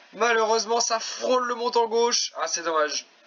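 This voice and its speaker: An extremely high-pitched male voice over noticeable background noise. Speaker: video game football commentator. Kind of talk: live commentary. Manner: animated.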